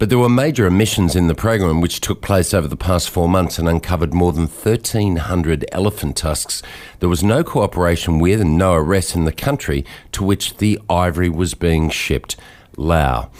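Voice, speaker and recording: On a very clean recording with a silent background, a man with a very deep, low pitch speaks at very even loudness and with ordinary pitch variation. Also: moderate pace. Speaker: radio news host. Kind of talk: radio news broadcast.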